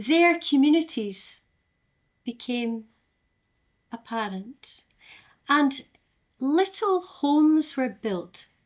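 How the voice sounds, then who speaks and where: A high-pitched woman with an Aberdeen accent talks very slowly with long, frequent pauses and very wide pitch swings. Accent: Aberdeen Scottish. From Scotland, Aberdeen. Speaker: storyteller. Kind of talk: storytelling; event hosting.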